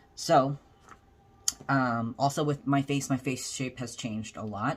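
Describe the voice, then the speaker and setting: A man at a medium pitch and a moderate pace. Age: 20s. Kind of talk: casual chat. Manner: hesitant, many fillers.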